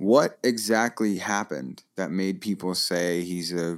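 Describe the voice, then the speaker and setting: Recorded very cleanly over a silent background, a man with a very deep, low pitch speaks at a very slow pace with fairly even intonation. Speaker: podcast host. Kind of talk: casual chat. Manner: profane, opinionated.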